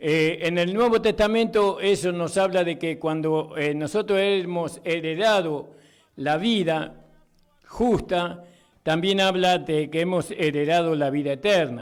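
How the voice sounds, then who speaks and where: A man with a high pitch and ordinary pitch variation talks at a fairly slow pace in a very clean recording with a silent background. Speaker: pastor, radio preacher. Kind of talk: sermon, preaching on the radio.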